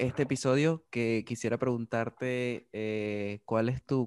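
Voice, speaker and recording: A man speaks at a medium pitch. He has a Venezuelan accent. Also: dry, close sound with no echo. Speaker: podcast co-host, BIM specialist. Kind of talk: casual podcast chat. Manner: hesitant, many fillers.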